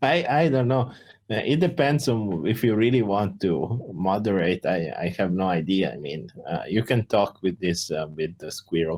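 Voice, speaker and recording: In an Italian accent, a man speaks at a moderate pace. His fairly low voice moves in very wide pitch swings. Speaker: crypto project founder. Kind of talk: community Q&A voice chat. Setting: Discord voice call.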